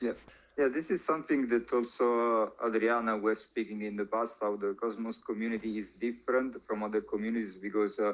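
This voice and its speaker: In an Italian accent, a man of medium pitch speaks at a fairly quick pace with fairly even intonation. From Italy. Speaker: crypto influencer. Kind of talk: interview. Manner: halting, many fillers.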